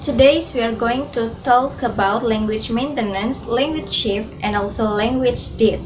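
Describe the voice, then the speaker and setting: Amid noticeable background noise and audible room echo, a woman with an Indonesian accent talks at a fairly high pitch, a moderate pace and fairly even intonation. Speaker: student. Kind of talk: class presentation.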